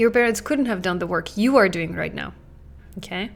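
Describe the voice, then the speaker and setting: A woman speaks with a non-native accent and ordinary pitch variation. Music plays in the background. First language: not English. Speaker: parenting coach and podcast host. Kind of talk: podcast monologue. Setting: talking into a camera. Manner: conversational.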